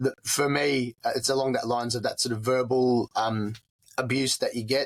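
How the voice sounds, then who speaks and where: At a moderate pace and medium pitch, a man with an Australian accent speaks in a monotone with flat intonation and very even loudness, in a dry, close sound with no echo. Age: 40s. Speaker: war veteran. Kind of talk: interview. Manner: halting.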